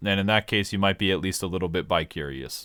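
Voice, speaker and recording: With a very deep, low pitch, a man speaks at a very fast pace. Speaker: gaming YouTuber. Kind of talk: Q&A answering viewer questions. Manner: projected voice.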